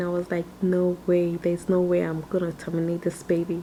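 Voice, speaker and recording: A soft-spoken woman's fairly low voice amid noticeable background noise. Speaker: mother recording a video for her son. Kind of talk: personal storytelling. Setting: at home while baby sleeps. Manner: soft-spoken, talking low.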